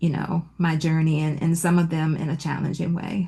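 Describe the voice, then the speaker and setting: Somewhat breathy in tone, the woman talks in an American accent. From Virginia, Petersburg. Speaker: entrepreneur. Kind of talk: interview. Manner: soft-spoken.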